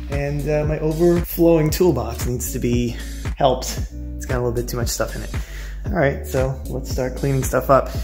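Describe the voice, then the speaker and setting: With clear music behind him, a man speaks at a moderate pace with fairly even intonation and a very deep, low pitch. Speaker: car hobbyist vlogger. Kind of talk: casual vlog chat. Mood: relaxed, cheerful. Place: garage. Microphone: phone near.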